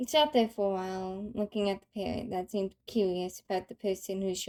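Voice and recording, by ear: Someone is reading aloud in a natural voice, with fairly even intonation. The background is quiet.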